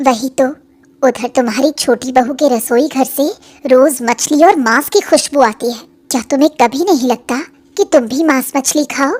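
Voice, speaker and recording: Putting on a cartoonish character voice, a woman pitches it high. She keeps a moderate pace. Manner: brisk, practical.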